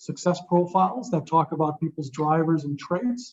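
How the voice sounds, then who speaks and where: A man speaks loudly. His pitch is high for a man. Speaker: corporate presenter. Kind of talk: Q&A panel talk. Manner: loud, direct.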